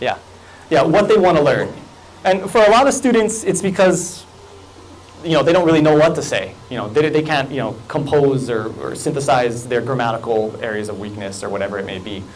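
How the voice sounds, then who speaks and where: A man with a Hawaiian accent talks at a fairly quick pace in a fairly high voice with very wide pitch swings. The recording has audible room echo and noticeable background noise. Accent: Hawaiian local English. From Hawaii, Kahaluu on Oahu. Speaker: college English teacher and fiction writer. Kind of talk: conference talk. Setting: lecture room with audience, microphone. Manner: animated, gestures a lot.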